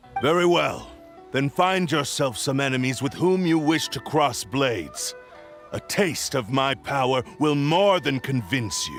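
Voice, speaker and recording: Clear music plays behind a man's cartoonish character voice. His pitch is fairly high and his pace moderate. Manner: haughty, imperious.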